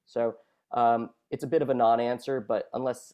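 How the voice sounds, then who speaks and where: This man has an unremarkable speaking voice with an American accent. He talks at a fairly quick pace with fairly even intonation. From US Northeast, New York City. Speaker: researcher and rugby league commentator. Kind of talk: radio interview. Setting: phone call.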